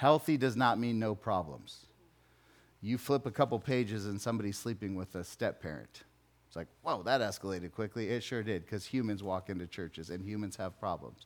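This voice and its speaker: The pace is fairly quick, with ordinary pitch variation. It is a plain, everyday voice. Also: man, fairly low pitch for a man. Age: 40s. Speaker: pastor. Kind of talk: sermon. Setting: church.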